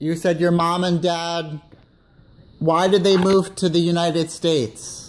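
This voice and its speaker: The delivery is fairly slow. Intonation stays monotone and flat. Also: man, high pitch for a man, very even loudness. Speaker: former assisted living worker. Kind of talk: interview questions.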